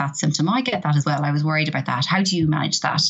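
A woman speaks with an Irish accent in a very deep, low pitch. There is noticeable background noise. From Ireland. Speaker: professor. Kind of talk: interview. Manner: hesitant with fillers.

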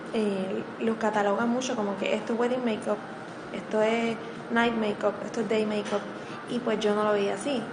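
Soft-spoken and monotone with flat intonation, a woman talks at a fairly high pitch and moderate pace with very even loudness, amid audible room echo and noticeable background noise. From Puerto Rico, Morovis. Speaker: makeup artist. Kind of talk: interview. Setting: radio studio.

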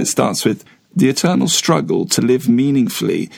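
Speaking at a moderate pace with a British accent, a man holds a medium pitch that swings very widely. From Britain. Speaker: podcast co-host. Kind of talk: podcast interview; scripted outro.

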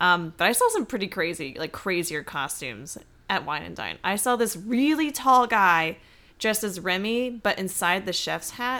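A woman speaks with an American accent in a bright, sharp tone. She keeps a moderate pace on a very clean recording with a silent background. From US South. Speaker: recreational runner, co-worker of host. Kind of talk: casual chat. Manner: animated.

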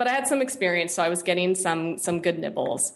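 With ordinary pitch variation and a medium pitch, a woman talks in a normal speaking voice. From US, San Francisco Bay Area. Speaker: web designer and developer. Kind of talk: interview.

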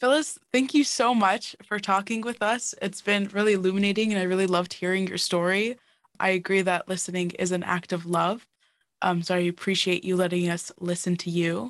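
Speaking at a fairly quick pace, a woman uses a normal speaking voice at medium pitch with ordinary pitch variation. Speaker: student podcast co-host. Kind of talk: interview. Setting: video call.

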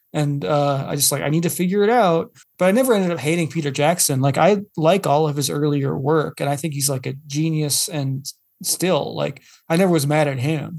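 A man with an ordinary speaking voice, fairly high in pitch, ordinary pitch variation, fairly quick pace. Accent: American. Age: 30s. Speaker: podcast guest, parent. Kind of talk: casual chat.

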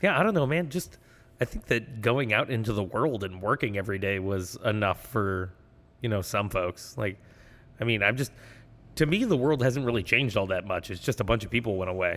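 A man speaks in a normal speaking voice with a fairly low pitch. He talks at a fairly quick pace with ordinary pitch variation. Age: 30s. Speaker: podcast host. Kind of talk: casual chat. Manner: laughs often.

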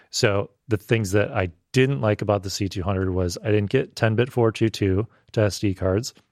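A man with a normal speaking voice talks at a moderate pace in a fairly low pitch, with ordinary pitch variation and a dry, close sound with no echo. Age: 30s. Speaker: video producer and filmmaker. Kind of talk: casual chat.

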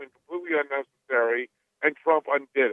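Here a man has an ordinary speaking voice. His pitch varies in an ordinary way, and his pace is moderate. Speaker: policy advocate, founder of a think tank. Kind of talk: radio interview, political discussion.

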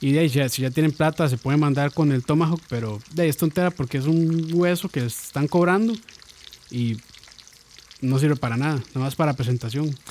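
Speech comes at a fairly quick pace with ordinary pitch variation over noticeable background noise. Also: man, fairly high pitch for a man. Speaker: podcast co-host. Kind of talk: casual chat.

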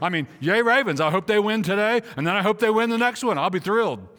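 High in pitch, a man speaks at a fairly quick pace with lively intonation and a bright, sharp, animated tone in a very clean recording with a silent background. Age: 60s. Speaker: pastor. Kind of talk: sermon. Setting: church.

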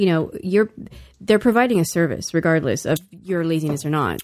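In a very clean recording with a silent background, a woman uses a normal speaking voice with an American accent, fairly low pitch and lively intonation. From US South. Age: 40s. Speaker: guest. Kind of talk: casual chat.

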